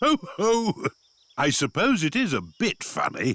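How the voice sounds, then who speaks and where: Fairly slow and fairly high, this cartoonish character voice leaps through very wide pitch swings. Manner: jovial, chuckling.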